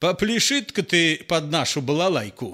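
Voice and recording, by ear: A man puts on a character voice, fairly high-pitched with a bright, sharp tone, big pitch swings and a moderate pace, recorded very cleanly against a silent background.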